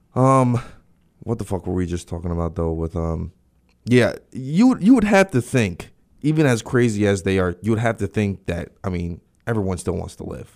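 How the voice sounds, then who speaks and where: A man with a plain, everyday voice talks at a moderate pace, with fairly low pitch and lively intonation. The recording is very clean, with a silent background. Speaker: podcast host. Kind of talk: casual banter, comedic chat, with a profane angry rant near 47:19. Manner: rambling, filler-heavy, profane, heated and indignant in the rant.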